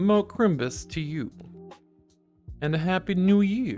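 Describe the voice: Over faint music in the background, a man uses a put-on character voice at a fairly high pitch and a fairly slow pace.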